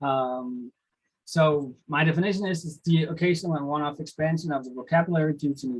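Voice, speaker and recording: His voice has some breathiness. The man speaks fairly quickly. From Denmark. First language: Danish. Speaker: lecturer. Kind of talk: lecture. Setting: video call. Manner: halting, with many fillers.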